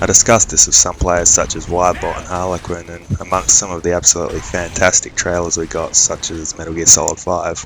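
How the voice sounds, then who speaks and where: A man's very deep, low voice in an Australian accent, fairly quick and monotone with flat intonation, music in the background. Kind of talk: gameplay commentary.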